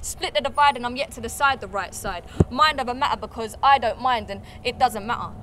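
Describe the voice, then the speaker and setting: The speech comes at a very fast pace with ordinary pitch variation. Noticeable background noise runs underneath. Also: woman. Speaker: spoken word artist, actress. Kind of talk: spoken word poetry performance.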